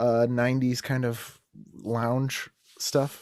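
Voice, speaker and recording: A man with an American accent and monotone, flat intonation. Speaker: comedian and podcaster. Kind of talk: casual chat.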